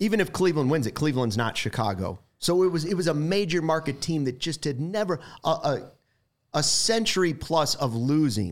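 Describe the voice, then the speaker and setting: An unremarkable speaking voice from a man with fairly high pitch, lively intonation and a fairly quick pace, on a very clean recording with a silent background. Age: 40s. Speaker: sports broadcaster. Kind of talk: casual chat.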